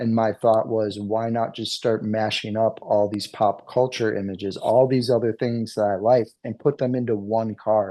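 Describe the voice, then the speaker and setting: Speaking at a moderate pace with hardly any pauses, a man with a medium pitch delivers his words in a dark, mellow tone and a monotone, flat intonation. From New England. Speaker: card artist. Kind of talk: interview.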